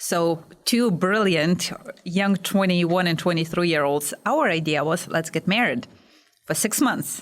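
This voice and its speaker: A woman's fairly low voice with a Lithuanian accent, fairly slow pace, very even loudness and ordinary pitch variation. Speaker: small business owner. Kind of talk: podcast interview.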